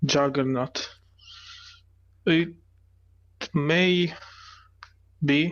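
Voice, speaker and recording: Using a non-native accent, a man speaks at a very slow pace with long, frequent pauses and fairly even intonation. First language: not English. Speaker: guest esports caster. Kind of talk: live commentary. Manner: halting.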